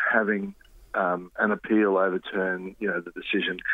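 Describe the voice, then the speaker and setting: At a moderate pace, the speaker talks with an Australian accent. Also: man. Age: 50s. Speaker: journalist. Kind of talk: interview.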